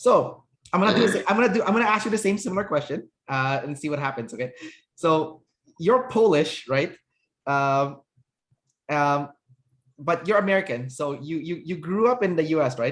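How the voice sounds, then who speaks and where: On a very clean recording with a silent background, a man speaks at a moderate pace and fairly high pitch with lively intonation and long, frequent pauses. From Canada. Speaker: personality typing interviewer. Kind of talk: casual interview chat.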